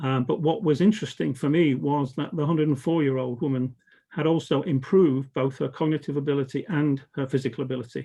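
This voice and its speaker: A man speaks fairly quickly in a southern British accent. His pitch is fairly high, with ordinary variation. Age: 70s. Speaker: educator and organisation development consultant. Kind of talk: conference talk. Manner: hesitant, many fillers.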